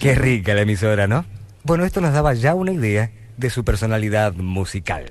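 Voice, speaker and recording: Speaking at a fairly quick pace, a man uses a fairly low pitch. His pitch swings very widely. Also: dry sound with no echo. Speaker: radio announcer. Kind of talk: scripted radio anniversary narration. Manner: humorous. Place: studio. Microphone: old recording.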